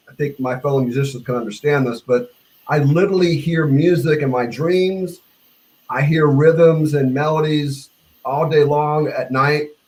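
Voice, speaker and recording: A man speaks in a fairly high pitch with an American accent. His voice is somewhat breathy and his intonation fairly even. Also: moderate pace. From US South. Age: 60s. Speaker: bass player. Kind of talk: casual chat. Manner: halting.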